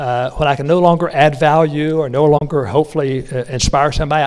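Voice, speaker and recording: This man speaks in a North Carolina accent at a fairly quick pace. His pitch is fairly high, with ordinary variation. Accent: Southern US (North Carolina). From North Carolina, rural. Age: 60s. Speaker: business speaker. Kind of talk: motivational speech. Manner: conversational, with many fillers.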